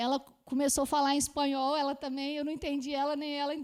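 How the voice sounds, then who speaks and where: Speaking at a fairly quick pace, a woman with a strong Minas Gerais accent talks at a high pitch. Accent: strong mineiro Brazilian Portuguese. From Minas Gerais, Brazil. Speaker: author and philosophy scholar. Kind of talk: interview testimony. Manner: fast.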